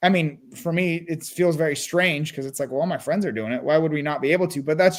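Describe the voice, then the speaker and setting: A man with a Californian accent, a fairly high pitch, ordinary pitch variation and a very fast pace. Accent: General American (California). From US West Coast, Burbank California. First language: Russian and Armenian. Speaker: real estate investor. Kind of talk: interview.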